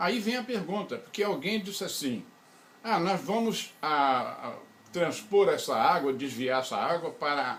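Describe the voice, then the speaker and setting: A man's voice swings very widely in pitch. Echo from the room is audible. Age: 80s+. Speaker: engineer and researcher. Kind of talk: interview.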